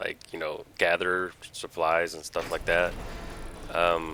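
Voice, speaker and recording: A man's very deep, low voice. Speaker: gaming video creator. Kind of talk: gameplay commentary. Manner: casual, hesitant with fillers.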